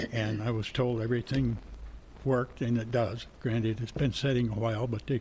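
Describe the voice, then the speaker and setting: The man's medium-pitched voice is somewhat breathy and dark, mellow in tone, with monotone, flat intonation. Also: fairly quick pace. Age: 80s+. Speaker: respondent at code enforcement hearing. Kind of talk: testimony.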